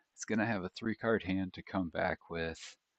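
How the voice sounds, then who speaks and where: Very deep and low, a man's voice moves at a fairly slow pace with fairly even intonation, recorded dry and close with no echo. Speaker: card game tournament commentator. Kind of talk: live commentary. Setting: card shop. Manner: quieter than usual.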